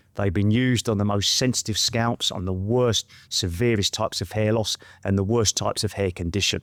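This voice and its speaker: In a very clean recording with a silent background and a dry, close sound with no echo, a man with an English accent speaks at a fairly low pitch with fairly even intonation. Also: fairly quick pace. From West London, England. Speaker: trichologist and hair product maker. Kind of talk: casual interview chat. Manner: soft-spoken.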